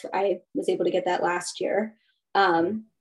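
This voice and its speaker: An American accent with vocal fry and ordinary pitch variation. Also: woman. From US, Baltimore County, Maryland. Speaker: therapist. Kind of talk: interview.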